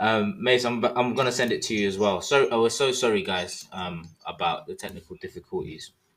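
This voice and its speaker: With a strong British accent, a man of medium pitch talks at a fairly quick pace with lively intonation and hardly any pauses. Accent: thick British. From London, England. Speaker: podcast host. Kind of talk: casual interview chat.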